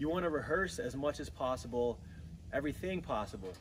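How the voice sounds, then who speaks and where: A man at a fairly quick pace with very wide pitch swings and light background noise. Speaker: outdoor cooking instructor. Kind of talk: tutorial. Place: garden.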